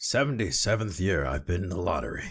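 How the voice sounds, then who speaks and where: A raspy, put-on character voice moves at a fairly quick pace with very wide pitch swings, captured on a very clean recording with a silent background. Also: man. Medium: read story. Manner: grumbling, petulant.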